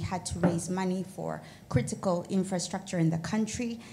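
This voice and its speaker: Audible room echo surrounds this voice. The pace is moderate and the pitch variation ordinary. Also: woman. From Kenya. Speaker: audience member, lawyer. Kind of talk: audience comment. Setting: conference with audience.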